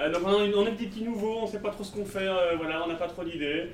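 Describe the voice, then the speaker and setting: The voice shows ordinary pitch variation. Audible room echo and noticeable background noise fill the recording. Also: man. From Belgium. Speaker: podcast host. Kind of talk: live podcast recording on stage. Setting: stage with audience.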